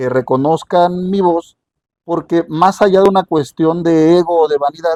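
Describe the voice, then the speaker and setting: Heard in a dry, close sound with no echo, a man with a high pitch and a dark, mellow tone talks at a fairly slow pace with ordinary pitch variation. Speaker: radio journalist. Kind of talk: interview.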